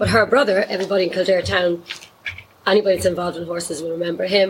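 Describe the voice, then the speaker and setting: A woman speaks with a Dublin accent. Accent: Irish (Dublin). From Dublin, Ireland. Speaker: horse riding instructor and equine therapy business owner. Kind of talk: casual interview chat.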